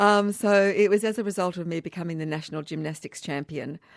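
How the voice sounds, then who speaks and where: Speaking in an Australian accent, a woman talks fairly quickly with fairly even intonation and a fairly low pitch. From Australia, Canberra. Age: 60s. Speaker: hiking event founder. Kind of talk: radio interview.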